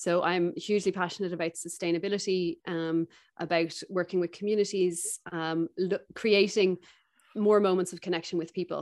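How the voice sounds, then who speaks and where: Speaking in a Dublin accent, a woman keeps a moderate pace and a medium pitch. Her intonation is monotone and flat, and the recording is very clean with a silent background. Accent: Dublin Irish. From Ireland, Dublin. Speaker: skincare company founder. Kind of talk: interview conversation.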